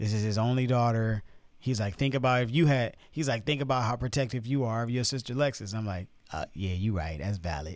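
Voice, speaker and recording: Recorded very cleanly against a silent background, a man with an American accent speaks at a fairly quick pace and medium pitch, with ordinary pitch variation, a normal speaking voice. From Chicago. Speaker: podcast co-host. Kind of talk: casual chat. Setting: studio.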